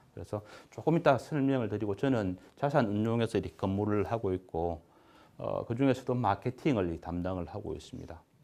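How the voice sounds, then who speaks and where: Speaking at a fairly quick pace, a man uses a fairly low voice with a dark, mellow tone and lively intonation. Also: quiet background. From Busan, South Korea. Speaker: asset management executive, finance lecturer. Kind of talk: public lecture. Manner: hesitant, many fillers.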